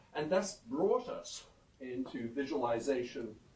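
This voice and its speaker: A man talks at a moderate pace, with audible room echo. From UK-born, raised partly in Canada and New Zealand. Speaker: professor. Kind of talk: conference talk. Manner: many fillers (um, uh).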